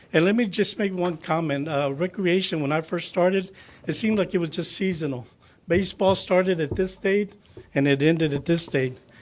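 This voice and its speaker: This man talks with an American accent. His pace is fairly quick, with ordinary pitch variation. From US South (southwest Florida). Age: 60s. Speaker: county recreation official. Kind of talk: public meeting presentation. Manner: halting.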